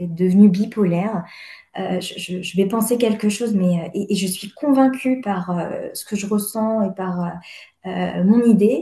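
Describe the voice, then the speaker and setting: A woman speaks at a fairly slow pace and medium pitch. Her voice is dark, mellow, and somewhat breathy. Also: ordinary pitch variation. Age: 30s. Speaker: therapy client. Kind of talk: personal testimony in consultation. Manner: halting, many hesitations.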